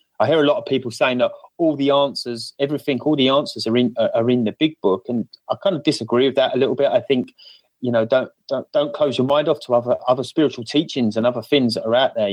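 With an Essex accent, a man speaks at medium pitch and a moderate pace, with fairly even intonation. His loudness stays very even, and the sound is dry and close with no echo. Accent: cockney Essex. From UK, Essex. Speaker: podcast panel guest. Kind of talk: casual conversational.

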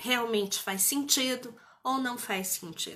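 Her tone both warm and bright and sharp, a woman speaks at a fairly high pitch. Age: 50s. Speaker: therapist and mentor. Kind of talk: live stream talk. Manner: warm, conversational.

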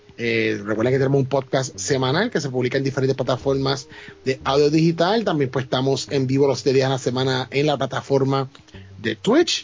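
Over noticeable background noise, a man of medium pitch talks fairly quickly with ordinary pitch variation. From Puerto Rico, Ponce. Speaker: podcast co-host. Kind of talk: casual chat.

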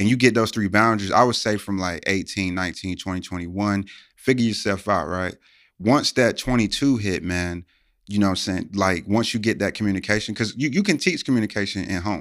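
A man with a plain, everyday voice, fairly low in pitch, with ordinary pitch variation and a fairly quick pace, on a very clean recording with a silent background. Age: 30s. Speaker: podcast host. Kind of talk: casual chat.

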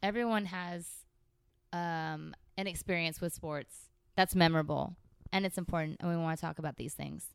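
With a Californian accent, a woman talks at a moderate pace in a fairly low pitch and fairly even intonation, captured in a very clean recording with a silent background. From San Francisco Bay Area, California. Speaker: podcast co-host. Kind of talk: casual chat. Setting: studio.

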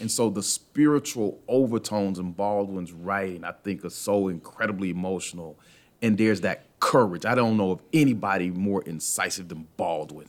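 Using an unremarkable speaking voice, a man with an American accent talks at a moderate pace, his pitch fairly low with ordinary pitch variation. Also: very clean recording, silent background. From US South (Atlanta, Georgia). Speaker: professor. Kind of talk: casual chat. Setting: studio.

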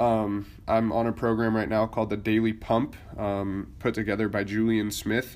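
At a moderate pace, a man with an American accent speaks in a plain, everyday voice, fairly low in pitch with fairly even intonation. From Idaho, US. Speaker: podcast host, Air Force service member. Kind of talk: casual solo monologue. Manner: casual, many filler words.

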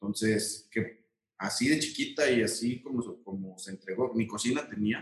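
A man with an ordinary speaking voice, medium pitch and ordinary pitch variation. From Mexico, Aguascalientes. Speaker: architect. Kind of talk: interview.

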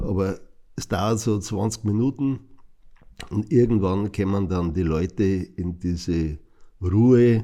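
A man talks very slowly in a very deep, low voice with a dark, mellow tone. His pitch varies an ordinary amount. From Passau, Lower Bavaria. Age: 60s. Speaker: artist and cabaret performer. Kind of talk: interview. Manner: hesitant with fillers.

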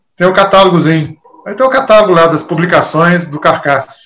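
A man's high-pitched voice at a moderate pace. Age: 60s. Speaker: guitar teacher. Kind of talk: interview. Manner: casual, conversational.

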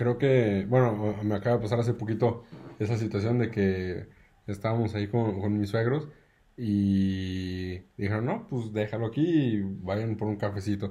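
A man's fairly low, somewhat breathy voice in a Mexican accent, dark and mellow, at a fairly slow pace with fairly even intonation. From Mexico, Aguascalientes. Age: 30s. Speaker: engineer, new father. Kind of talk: casual chat.

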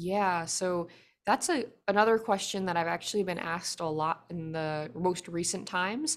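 With an American accent, a woman uses an ordinary speaking voice at a fairly low pitch. She speaks at a moderate pace with ordinary pitch variation on a very clean recording with a silent background. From United States. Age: 20s. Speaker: singer-songwriter. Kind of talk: interview.

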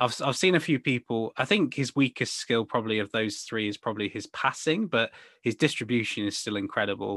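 With an English accent, a man talks at a fairly quick pace with hardly any pauses, his medium pitch showing ordinary variation, in a dry, close recording with no echo. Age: 20s. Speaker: football podcast co-host. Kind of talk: casual chat.

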